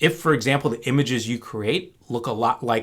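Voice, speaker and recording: With a normal speaking voice, a man speaks at a medium pitch and moderate pace on a very clean recording with a silent background. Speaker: data science educator. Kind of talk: lecture.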